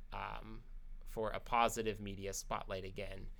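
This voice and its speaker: This man talks at a fairly slow pace, his tone bright and sharp and his intonation fairly even. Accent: American. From US, Oregon. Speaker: university staff member and student. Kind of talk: interview.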